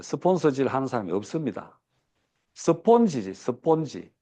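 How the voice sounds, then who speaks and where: A man's voice, dark and mellow in tone, moves at a moderate pace over a quiet background. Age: 60s. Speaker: business seminar speaker. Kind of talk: lecture. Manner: many fillers and hesitations.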